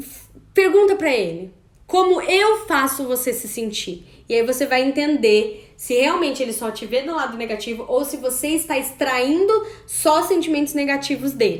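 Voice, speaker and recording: A loud, animated woman's voice at high pitch, with very wide pitch swings and a moderate pace. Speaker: women's coaching course host. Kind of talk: live online class.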